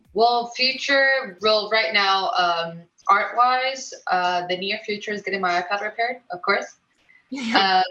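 Speaking with a Mexican accent, a woman uses a fairly high pitch and ordinary pitch variation at a fairly slow pace. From Mexico. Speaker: illustrator. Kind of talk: interview.

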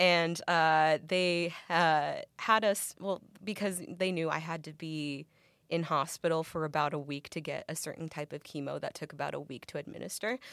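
At a moderate pace, a woman talks in an unremarkable speaking voice with fairly low pitch and fairly even intonation. Her recording is very clean and the background silent. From Mexican-American background. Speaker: actress. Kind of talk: interview. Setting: studio.

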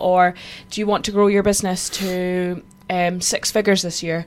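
Speaking at a moderate pace, a woman keeps her intonation monotone and flat. There is little rise or fall in her pitch. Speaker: podcast co-host. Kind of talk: casual chat.

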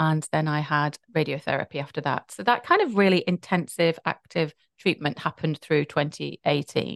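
A woman with a very deep, low pitch and ordinary pitch variation talks at a moderate pace in a dry, close sound with no echo. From UK. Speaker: patient advocate and podcast host. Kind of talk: interview, personal testimony.

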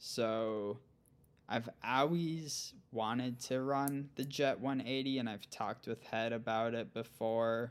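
A man in an Upper Midwest accent, very slow in pace, with fairly even intonation. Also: medium pitch for a man. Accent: Upper Midwest American. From central Minnesota. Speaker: gravel cycling pro and coach. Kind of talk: casual interview.

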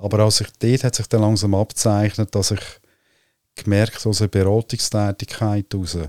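A man with a Central Swiss accent talks in a flat monotone at a fairly low pitch and moderate pace. The sound is dry and close with no echo, on a very clean recording with a silent background. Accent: Lucerne Swiss German. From Switzerland, Lucerne area. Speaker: business coach and astrologer. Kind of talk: casual interview conversation. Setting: on a sofa at the host's place. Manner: halting with many fillers.

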